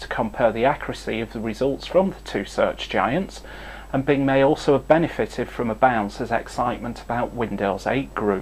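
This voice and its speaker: Speaking at a fairly quick pace in a northern English accent, a man shows big swings in loudness. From northern England. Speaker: tech news presenter. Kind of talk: scripted news update.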